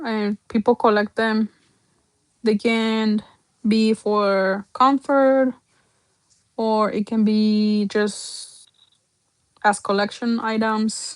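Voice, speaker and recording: A woman's fairly high, monotone, flat voice with a Spanish accent, very slow with long, frequent pauses, dry and close with no echo. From Mexico. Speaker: doll artist. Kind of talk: livestream sales showcase. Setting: livestream. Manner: casual, chatty.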